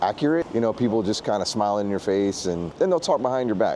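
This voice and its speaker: Through noticeable background noise, a man of medium pitch speaks with lively intonation. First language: Spanish. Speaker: vlogger. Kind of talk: travel vlog.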